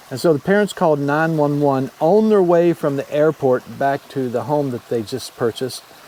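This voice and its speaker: Through noticeable background noise, a man with a fairly high pitch and lively intonation speaks at a moderate pace. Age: 60s. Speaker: motorcycle travel vlogger, retiree. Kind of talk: casual vlog monologue.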